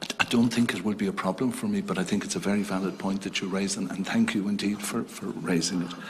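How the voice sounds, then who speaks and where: A man rattles along at a very fast pace, hardly pausing, with noticeable noise in the background. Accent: Irish. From Ireland, County Tipperary. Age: 60s. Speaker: retired diplomat, council chair nominee. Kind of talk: parliamentary committee testimony. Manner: halting, hesitant.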